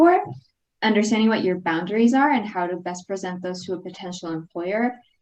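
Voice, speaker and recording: Very fast, lively speech in a Spanish accent. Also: woman. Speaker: alumna and international graduate on career panel. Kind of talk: panel discussion.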